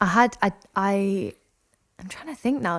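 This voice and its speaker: A woman speaks with a Lancashire accent and lively intonation. The recording is very clean, with a silent background. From northern England. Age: 20s. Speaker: singer-songwriter. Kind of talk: interview.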